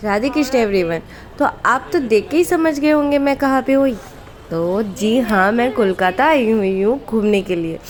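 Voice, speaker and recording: A woman with a fairly high pitch talks at a moderate pace with lively intonation and very even loudness over noticeable background noise. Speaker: travel vlogger. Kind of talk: travel vlog narration.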